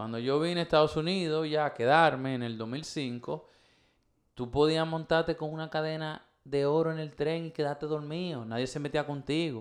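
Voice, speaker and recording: Speaking at a moderate pace, a man has a normal speaking voice at a fairly high pitch. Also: fairly even intonation. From Dominican Republic. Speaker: podcast host. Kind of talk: casual chat.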